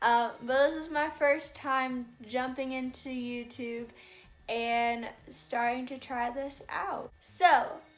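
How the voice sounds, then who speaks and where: A woman with an American accent and a high pitch, very slow and fairly even in intonation, with big swings in loudness and audible room echo. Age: 20s. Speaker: YouTuber. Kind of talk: casual vlog introduction.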